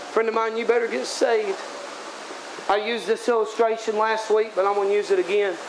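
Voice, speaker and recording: With a high pitch, a man talks at a fairly quick pace. There is noticeable background noise. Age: 30s. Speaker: evangelist preacher. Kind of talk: sermon. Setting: tent revival meeting. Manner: animated.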